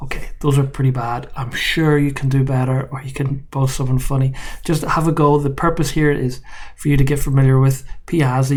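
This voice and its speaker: A man with an Irish accent speaks in a monotone with flat intonation. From Ireland. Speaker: university professor. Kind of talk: course introduction video. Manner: casual, joking.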